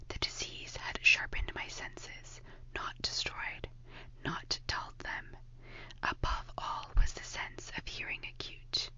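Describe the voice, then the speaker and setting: The speaker whispers at a fairly slow pace. Noticeable noise sits in the background. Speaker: ASMR narrator. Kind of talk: whispered ASMR story reading, audiobook narration. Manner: whispered, soft-spoken.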